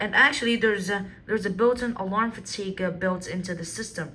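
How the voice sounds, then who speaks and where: A woman speaks at a moderate pace in a medium pitch with ordinary pitch variation, and room echo is audible. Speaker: product demonstrator. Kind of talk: product demonstration. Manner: halting, many fillers.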